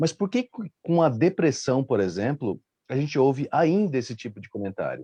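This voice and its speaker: A man's dark, mellow voice with very wide pitch swings at a moderate pace, dry and close with no echo, against a quiet background. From Rio Grande do Sul, Brazil. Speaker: live stream panelist. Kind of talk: casual panel discussion.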